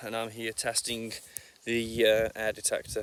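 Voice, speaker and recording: The recording is dry, with no echo at all. A man talks over noticeable background noise. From England. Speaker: metal detectorist. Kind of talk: casual talk to camera, product review.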